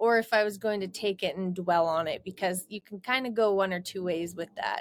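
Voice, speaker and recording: A woman's medium-pitched voice with a Canadian Prairies accent. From Alberta, Canada. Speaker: rodeo queen and social media influencer. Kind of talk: interview.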